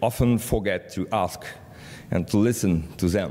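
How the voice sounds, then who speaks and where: A man with a French accent, a very deep, low pitch, ordinary pitch variation and a moderate pace. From France. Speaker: media cooperation director. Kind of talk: conference presentation. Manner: halting, many fillers.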